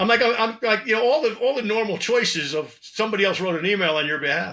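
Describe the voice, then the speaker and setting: Raised and projected, the voice has a bright, sharp tone and moves at a moderate pace. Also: man. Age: 60s. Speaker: sales trainer and author. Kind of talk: podcast interview. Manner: animated.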